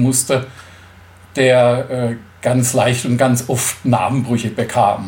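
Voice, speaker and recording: Somewhat breathy, a man speaks at a medium pitch. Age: 50s. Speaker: motorcycle tour organizer with a stoma. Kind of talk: interview.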